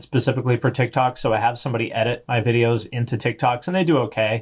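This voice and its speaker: A man with an American accent sounds somewhat breathy. The background is quiet. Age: 40s. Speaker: music YouTuber. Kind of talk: casual chat.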